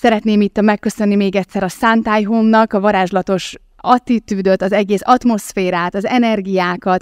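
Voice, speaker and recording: With monotone, flat intonation, a woman speaks at a medium pitch in a dry, close sound with no echo. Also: moderate pace. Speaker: podcast host. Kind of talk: live podcast interview. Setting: live recording with audience.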